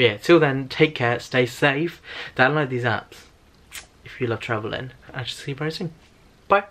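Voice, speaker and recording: A man speaks in a British accent at a medium pitch with ordinary pitch variation, leaving long, frequent pauses and making big swings in loudness. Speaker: travel vlogger. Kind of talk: casual vlog tutorial. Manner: casual, filler-heavy; fast.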